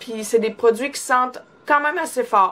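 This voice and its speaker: With noticeable background noise behind her, a woman speaks at a fairly quick pace. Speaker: beauty vlogger. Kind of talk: product review vlog. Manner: casual, many fillers.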